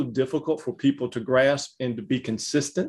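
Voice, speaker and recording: A man with a Southern US accent is heard on a very clean recording with a silent background. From Louisiana. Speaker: ministry host. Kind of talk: interview conversation.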